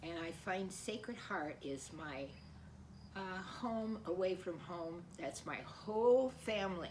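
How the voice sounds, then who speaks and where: A woman with an American accent speaks at a very slow pace and a medium pitch, with ordinary pitch variation. Noticeable background noise and audible room echo fill the recording. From US, Colorado Springs. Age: 80s+. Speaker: parishioner. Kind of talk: personal testimony. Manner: halting.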